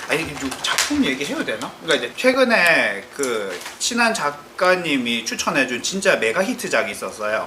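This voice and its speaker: The pace is moderate. Noticeable background noise comes through. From Busan, South Korea. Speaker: aspiring web novelist. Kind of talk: casual panel chat.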